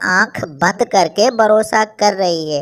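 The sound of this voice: A cartoonish character voice sounds female, with a medium pitch. It moves at a very slow pace.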